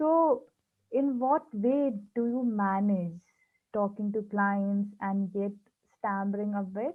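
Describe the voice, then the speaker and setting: A woman's very slow speech with long, frequent pauses. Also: medium pitch for a woman, ordinary pitch variation. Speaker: YouTube host who stammers, interviewer. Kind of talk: interview host intro and questions.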